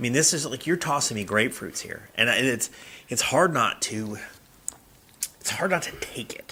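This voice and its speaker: Over noticeable background noise, a man with an American accent speaks with lively intonation, big swings in loudness and long, frequent pauses. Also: medium pitch for a man, moderate pace. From US South. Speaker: podcast co-host, church revitalization. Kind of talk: casual chat.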